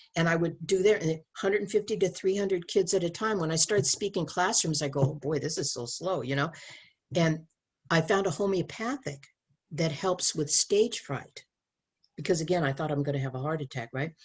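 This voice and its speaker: A woman with a fairly low, somewhat breathy voice speaks at a fairly quick pace with ordinary pitch variation against a quiet background. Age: 70s. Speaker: abstinence educator and speaker. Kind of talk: casual chat. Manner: animated.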